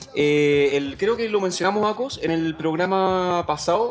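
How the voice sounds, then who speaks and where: Noticeable background noise sits behind a man with a Chilean accent and a high pitch. He talks at a fairly slow pace with lively intonation. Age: 30s. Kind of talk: casual chat.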